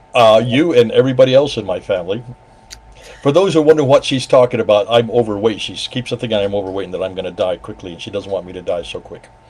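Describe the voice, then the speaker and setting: A man with a medium pitch talks at a very fast pace, with lively intonation and big swings in loudness. Noticeable background noise sits behind him. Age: 70s. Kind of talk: casual chat.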